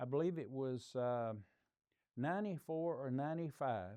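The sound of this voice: The man speaks at a slow pace with a slightly mellow tone.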